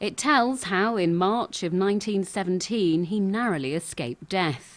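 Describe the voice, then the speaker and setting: An unremarkable speaking voice from a woman, medium-pitched with lively intonation, at a moderate pace against a quiet background. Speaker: TV news reporter. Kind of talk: TV news report narration.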